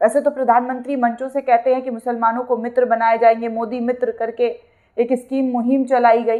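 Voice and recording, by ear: Speaking at a fairly quick pace, a woman keeps her fairly high pitch with little pitch movement.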